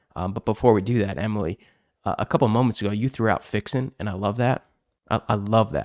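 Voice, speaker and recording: A man with a slight Chicago accent talks at a very fast pace. His fairly low voice sounds dry and close, with no echo. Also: very clean recording, silent background. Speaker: podcast host, accounting industry speaker. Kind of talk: casual podcast chat.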